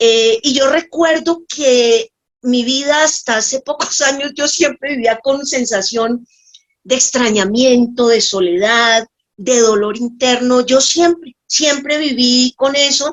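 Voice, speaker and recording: The woman's voice is high, with ordinary pitch variation. She speaks at a very slow pace with very even loudness. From Colombia, Bogotá and Tocaima. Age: 60s. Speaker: nurse giving a faith testimony. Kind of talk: testimony. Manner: halting, with many fillers.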